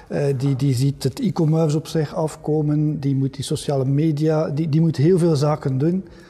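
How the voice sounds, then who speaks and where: A man speaks at a moderate pace in a fairly high, somewhat breathy voice with a dark, mellow tone. His intonation is flat and monotone. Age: 50s. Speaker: podcast host. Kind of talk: interview.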